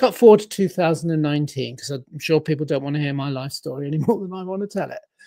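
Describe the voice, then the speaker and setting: Someone with an English accent speaks at a very fast pace with hardly any pauses. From England. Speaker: life coach and productivity author. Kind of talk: podcast interview, storytelling. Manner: animated, acts out dialogue.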